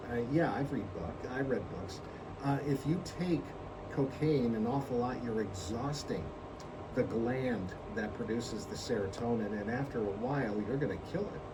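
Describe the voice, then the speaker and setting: Audible echo from the room, plus noticeable noise behind it. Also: man, medium pitch for a man, ordinary pitch variation, moderate pace. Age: 70s. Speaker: radio host. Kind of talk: casual chat. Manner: halting.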